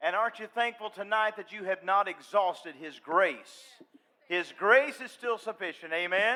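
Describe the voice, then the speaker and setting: A man with a Southern accent uses a raised, projected voice at a high pitch. His pace is moderate, and his loudness swings widely. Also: ordinary pitch variation. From US South, western North Carolina. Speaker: gospel singer. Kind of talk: stage banter. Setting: stage with audience.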